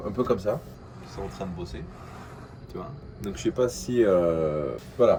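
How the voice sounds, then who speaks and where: At a moderate pace, a man talks with a slight Algerian accent. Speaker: vlogger, aspiring entrepreneur. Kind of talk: casual vlog monologue. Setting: coworking space. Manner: hesitant, many fillers.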